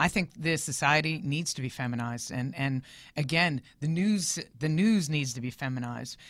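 A woman with a Philadelphia accent speaks at a very deep, low pitch and a moderate pace. Her pitch varies in an ordinary way, and the recording is very clean with a silent background. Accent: Philadelphia American English. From US Northeast, Philadelphia. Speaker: entertainment news reporter. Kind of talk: casual interview chat. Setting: studio.

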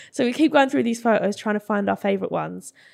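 A woman with an English accent speaks on a very clean recording with a silent background. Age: 20s. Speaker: social media creator. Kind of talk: casual chat.

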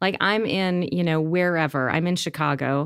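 A woman has an ordinary speaking voice, fairly low in pitch, with an American accent. She keeps a moderate pace and ordinary pitch variation on a very clean recording with a silent background. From upstate New York, Rochester. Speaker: pharmaceutical entrepreneur. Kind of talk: interview conversation.

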